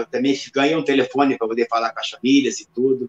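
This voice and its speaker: A man talks at a fairly quick pace with fairly even intonation. His is an unremarkable speaking voice, pitched at a medium level. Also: dry, close sound with no echo. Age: 50s. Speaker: retired MMA fighter. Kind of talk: interview.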